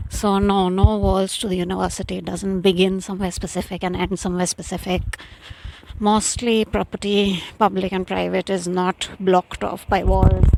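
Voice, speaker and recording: A woman's mumbling at medium pitch, moderate pace, monotone and flat in intonation. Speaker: vlogger. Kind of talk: casual walking vlog narration. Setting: outdoors.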